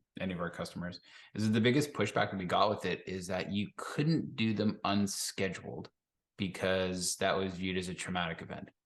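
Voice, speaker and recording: A man's very deep, low voice at a fairly quick pace, with ordinary pitch variation over a quiet background. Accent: Canadian. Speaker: business continuity consultant and podcast co-host. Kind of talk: casual podcast discussion.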